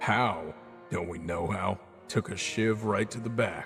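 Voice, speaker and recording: A raspy, put-on character voice speaks at a fairly slow pace with ordinary pitch variation while music plays clearly in the background. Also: man, fairly low pitch for a man. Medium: audio drama. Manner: blunt, gruff.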